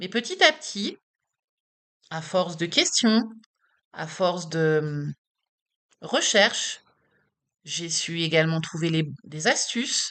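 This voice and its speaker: Long, frequent pauses break up speech delivered at a very slow pace with ordinary pitch variation. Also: woman. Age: 40s. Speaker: patient advocate vlogger. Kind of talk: personal vlog testimony. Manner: casual, direct address to viewer.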